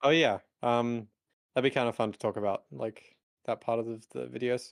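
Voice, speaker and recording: At a moderate pace, a man talks with fairly even intonation at a medium pitch. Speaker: youtuber. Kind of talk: casual chat. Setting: live stream.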